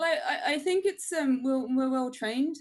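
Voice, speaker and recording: Someone with an English accent speaks with lively intonation against a quiet background. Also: woman. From England. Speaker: crypto company marketing manager. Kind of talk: interview on a webinar. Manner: hesitant, many fillers.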